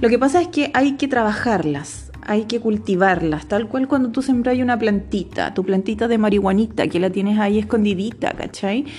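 A woman speaks in a Chilean accent at a moderate pace, her pitch fairly high and her loudness very even. She hardly pauses, and noticeable background noise runs underneath. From Chile, Rancagua. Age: 30s. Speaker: podcaster. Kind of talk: casual monologue. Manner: casual, slangy.

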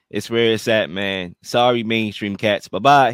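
Recorded very clean with a silent background and a dry, close sound with no echo, a man speaks at a medium pitch in an animated tone. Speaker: podcast host. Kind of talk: radio dj patter, show intro. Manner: animated, hyped, showman-like.

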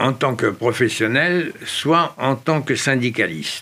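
A man speaks at a very slow pace with lively intonation. His tone is bright and sharp. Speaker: former resistance fighter and advertising executive. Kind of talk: interview. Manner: halting.

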